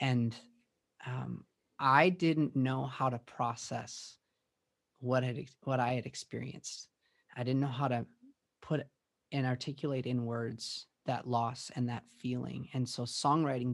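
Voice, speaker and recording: Against a quiet background, a man talks in a plain, everyday voice at medium pitch. His pace is fairly slow and his intonation fairly even. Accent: American. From US Midwest, Minneapolis western suburbs. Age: 30s. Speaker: worship pastor and songwriter. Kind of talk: podcast interview.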